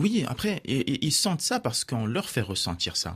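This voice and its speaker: Somewhat breathy, a man's voice swings very widely in pitch on a very clean recording with a silent background. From Morocco. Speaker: teacher and author. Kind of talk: radio interview. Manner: halting, with fillers.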